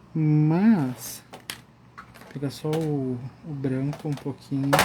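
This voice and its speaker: Amid noticeable background noise, a man talks at a very slow pace and fairly high pitch with fairly even intonation. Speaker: art instructor. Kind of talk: live coloring tutorial. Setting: Instagram live stream. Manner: calm.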